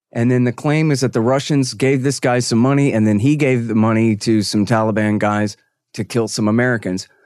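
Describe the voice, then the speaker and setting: Against a quiet background, an ordinary speaking voice holds a very even loudness at a fairly quick pace. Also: man, medium pitch for a man. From Texas. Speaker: foreign policy commentator and radio host. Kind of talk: interview.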